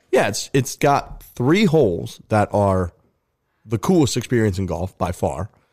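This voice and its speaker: Lively intonation marks an ordinary speaking voice with an American accent at a fairly slow pace, in a very clean recording with a silent background and a dry, close sound with no echo. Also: man, fairly low pitch for a man. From Missouri, St. Louis area. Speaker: golf podcaster. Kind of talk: casual chat. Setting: studio.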